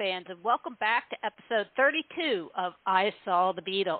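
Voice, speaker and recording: Her pitch swinging very widely, a woman speaks at a fairly slow pace. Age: around 60. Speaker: podcast host. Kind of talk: casual interview.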